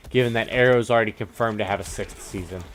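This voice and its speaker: A man speaks over noticeable background noise. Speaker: gaming youtuber. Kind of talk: casual chat. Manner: slurred, stumbling words.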